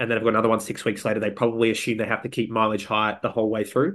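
A man's medium-pitched voice in an Australian accent, against a quiet background. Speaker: podcast co-host. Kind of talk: casual chat.

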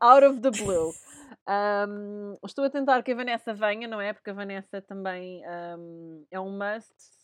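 In a dry, close sound with no echo and a quiet background, a woman at medium pitch talks at a fairly slow pace with long, frequent pauses, ordinary pitch variation and big swings in loudness. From Portugal. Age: 30s. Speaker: podcast host. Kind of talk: casual chat.

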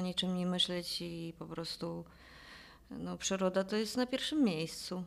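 Fairly slow speech from a woman at a medium pitch with ordinary pitch variation. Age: 50s. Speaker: jiu-jitsu athlete. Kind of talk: casual chat. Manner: halting.

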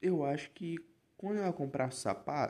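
The speaker is a man with a dark, mellow tone. His intonation moves in a lively way. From Rio de Janeiro metro area, Baixada Fluminense (Nova Iguaçu). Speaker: podcast host. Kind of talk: casual monologue. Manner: animated.

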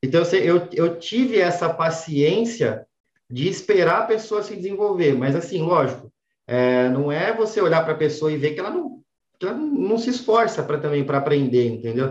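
This man has a high pitch and lively intonation, speaking at a moderate pace. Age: 20s. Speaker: entrepreneur. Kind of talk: interview. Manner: halting.

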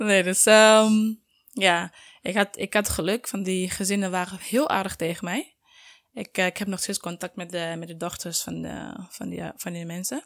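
At a fairly slow pace, a woman with a medium pitch speaks with ordinary pitch variation and big swings in loudness. The sound is dry and close with no echo, in a very clean recording with a silent background. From Sierra Leone. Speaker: student and mother. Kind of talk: casual interview.

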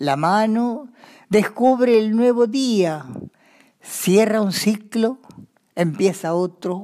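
At a very slow pace with long, frequent pauses, a woman speaks in a fairly high, dark, mellow voice with lively intonation, recorded very cleanly over a silent background. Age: 90s. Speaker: grandmother and amateur writer. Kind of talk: reading aloud of her own writing.

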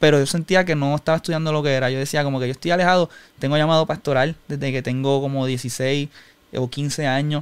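The speaker, with a Puerto Rican accent, talks at a very fast pace. The intonation stays fairly even. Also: man, fairly high pitch for a man. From Puerto Rico (Humacao). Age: 20s. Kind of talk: personal testimony in interview.

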